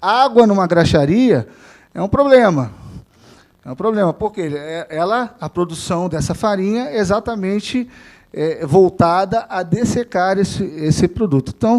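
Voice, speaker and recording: This man has a high pitch and lively intonation, and he speaks at a fairly slow pace. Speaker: veterinarian and government official giving a talk. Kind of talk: lecture. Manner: halting, many fillers and restarts.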